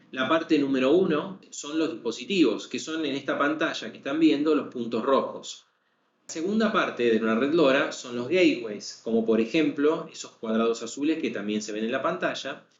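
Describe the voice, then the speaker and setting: With an Argentine accent, a man talks at a fairly high pitch and with lively intonation. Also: moderate pace. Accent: Argentine (Rioplatense) Spanish. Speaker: sales manager presenting a technical webinar. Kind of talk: webinar lecture. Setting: online webinar.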